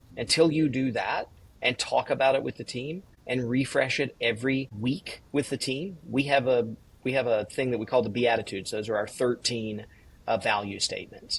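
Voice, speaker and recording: A man with a slight Southern US accent speaks at a moderate pace in a somewhat breathy, medium-pitched voice with ordinary pitch variation. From US South, Georgia (Valdosta). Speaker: executive coach and author. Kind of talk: podcast interview.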